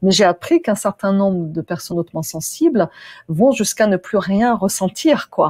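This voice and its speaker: A somewhat breathy woman at medium pitch, moderate pace and lively intonation, on a very clean recording with a silent background. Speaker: interviewer. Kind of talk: interview host, conversational.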